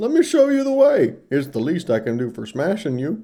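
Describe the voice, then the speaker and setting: A put-on character voice at a middle pitch, with very wide pitch swings. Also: moderate pace. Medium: read story.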